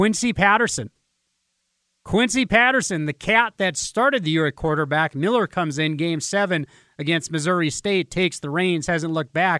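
A man with an Upper Midwest accent speaks at a moderate pace, his pitch high and his intonation lively. The recording is very clean with a silent background, and the sound is dry and close with no echo. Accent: Upper Midwest US, Fargo-area. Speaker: sports radio host. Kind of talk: pregame sports radio talk: hyped, folksy preview of the playoff game. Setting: radio studio. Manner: animated, energetic, conversational fan-style patter with local slang.

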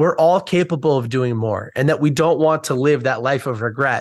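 A man with an American accent at a fairly high pitch, lively intonation and a moderate pace, against a quiet background. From United States. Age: 20s. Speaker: author and book community founder. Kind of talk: interview.

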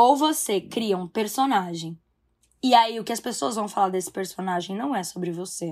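With lively intonation and big swings in loudness, an ordinary speaking voice moves along at a moderate pace. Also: woman, medium pitch for a woman. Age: 20s. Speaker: actress and youtuber. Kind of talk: casual chat.

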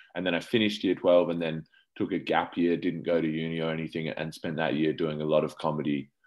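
A man's very deep, low voice, very fast and monotone with flat intonation, in an Australian accent. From Australia, Adelaide. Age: 20s. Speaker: comedian. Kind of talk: interview. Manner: halting.

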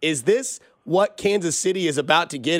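A man speaks in a plain, everyday voice at a moderate pace. His pitch varies in an ordinary way, and the recording is very clean with a silent background. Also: dry, close sound with no echo. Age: 30s. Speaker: sports radio host. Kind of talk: interview.

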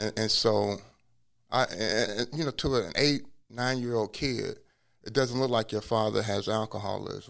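On a very clean recording with a silent background, a man speaks at medium pitch with vocal fry and ordinary pitch variation. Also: moderate pace. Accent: American. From US Midwest (Cincinnati, Ohio). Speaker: law professor and former attorney. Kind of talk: personal testimony interview.

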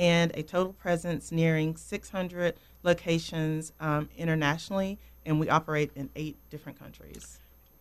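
Her Southern US accent carries a very deep, low pitch for a woman. She talks at a moderate pace in a monotone, flat way. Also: big swings in loudness. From North Carolina. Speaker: home care operations director. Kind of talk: radio interview. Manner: hesitant, frequent ums.

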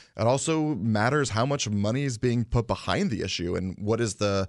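A man speaks fairly quickly with ordinary pitch variation in an ordinary speaking voice. The background is quiet. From Connecticut. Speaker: state legislator. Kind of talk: interview. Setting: studio.

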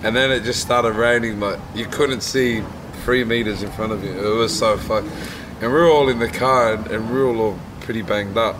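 Against noticeable background noise, a man with an Australian accent talks at a fairly quick pace, medium in pitch, his intonation fairly even. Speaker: podcast co-host and MMA fighter. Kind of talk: casual chat. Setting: outdoors.

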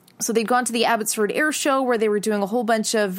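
A woman with a Canadian accent speaks with fairly even intonation. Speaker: podcast host and news presenter. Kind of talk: scripted podcast hosting and interviewing.

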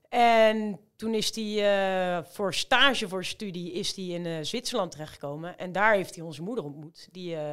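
Speaking at a fairly slow pace in a normal speaking voice, a woman shows ordinary pitch variation in a very clean recording with a silent background. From Rotterdam, Netherlands. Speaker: amateur marathon runner. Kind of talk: casual chat.

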